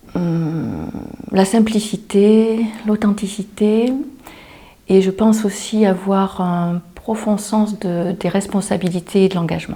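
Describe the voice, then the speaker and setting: Very slowly, a woman talks at a medium pitch in a monotone, flat intonation. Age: 50s. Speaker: job seeker, former flight attendant. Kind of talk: self-presentation interview.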